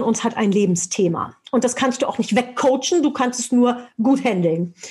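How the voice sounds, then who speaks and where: A woman speaks at a moderate pace in a high pitch. Her tone is energetic. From Germany. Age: 40s. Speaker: motivational speaker and sales trainer. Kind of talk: interview.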